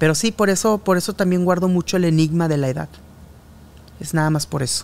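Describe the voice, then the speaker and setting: A man speaks at a fairly high pitch with a Mexican accent. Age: 30s to 40s. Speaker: journalist and podcast host. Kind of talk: casual chat.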